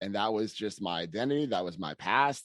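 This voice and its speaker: Over a quiet background, the speaker talks with a Boston accent at a fairly quick pace and ordinary pitch variation, the sound dry and close with no echo. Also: man. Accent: Boston-area. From Massachusetts, US. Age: 30s. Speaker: personal trainer. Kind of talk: podcast interview.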